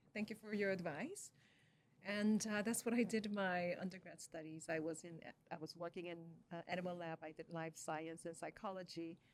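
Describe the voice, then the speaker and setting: With a Korean accent, a woman talks at a moderate pace in a fairly low pitch, keeping her intonation fairly even. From Korea, moved to Canada at sixteen. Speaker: communication scientist and educator. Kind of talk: interview.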